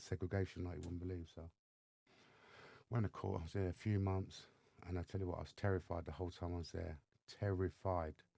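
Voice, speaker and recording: A man's very fast speech, very deep and low in pitch, with a dark, mellow tone. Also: very clean recording, silent background. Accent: English. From England, south-east London. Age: 50s. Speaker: mentor and former gang member. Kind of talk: podcast interview, personal storytelling. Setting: studio.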